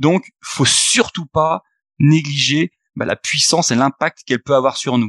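Here is a normal speaking voice: a man at a fairly high pitch with ordinary pitch variation, going at a fairly slow pace. The sound is dry and close, with no echo. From Haute-Savoie, French Alps. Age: 30s. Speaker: investor and entrepreneur. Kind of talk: podcast interview. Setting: meeting room in a coworking space, remote.

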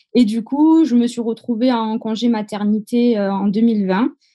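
Against a quiet background, a woman with a dark, mellow tone speaks with ordinary pitch variation. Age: 20s. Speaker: event decorator. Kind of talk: interview.

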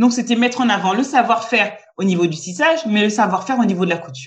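A woman speaks with a somewhat breathy voice at a fairly high pitch. Her intonation is lively. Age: 30s. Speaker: entrepreneur. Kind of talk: interview. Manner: halting, frequent repetitions.

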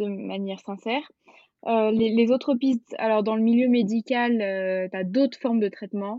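A woman at a moderate pace with fairly high pitch and fairly even intonation. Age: 20s. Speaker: osteopath. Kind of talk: casual interview. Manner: hesitant, many fillers.

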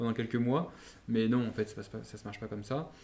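This man talks at a very fast pace in a dark, mellow tone, his intonation monotone and flat. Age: 30s. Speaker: wine entrepreneur. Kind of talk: interview.

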